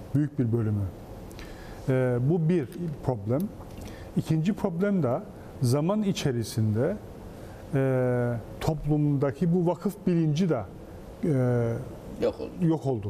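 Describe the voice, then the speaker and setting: With light background noise, a man speaks at a very slow pace in a fairly high pitch, using lively intonation and long, frequent pauses. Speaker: foundations administrator and professor. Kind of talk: TV interview. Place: studio. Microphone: lapel.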